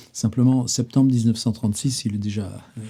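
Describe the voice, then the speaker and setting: A man's voice sits at medium pitch and has a dark, mellow tone. It sounds somewhat breathy. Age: 70s. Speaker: writer and literary videoblogger. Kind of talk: casual literary monologue. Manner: hesitant, many fillers and repetitions; animated.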